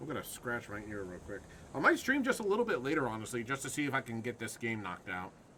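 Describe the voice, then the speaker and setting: A man's medium-pitched, very fast delivery with ordinary pitch variation and big swings in loudness, over noticeable background noise. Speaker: gaming streamer. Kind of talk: live gameplay commentary. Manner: hesitant, many ums.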